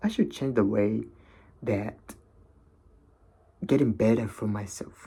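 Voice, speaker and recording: A man's dark, mellow voice with a non-native accent, fairly low pitch and fairly even intonation. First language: not English. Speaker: vlogger. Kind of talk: casual monologue. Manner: halting, many fillers.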